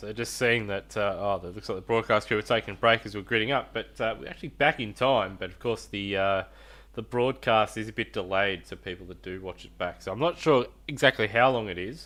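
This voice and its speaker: Over a very clean, silent background, a man with an Australian accent talks at a fairly quick pace in a bright, sharp tone. His pitch is fairly low with ordinary variation, and his loudness swings widely. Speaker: sim racing commentator. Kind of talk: live commentary. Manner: quiet.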